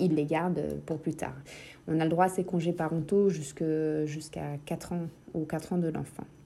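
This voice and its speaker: A woman with a very deep, low pitch and a dark, mellow tone speaks at a fairly slow pace in a monotone, flat intonation, with long, frequent pauses. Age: 30s. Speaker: mother sharing experience. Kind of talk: recorded testimony.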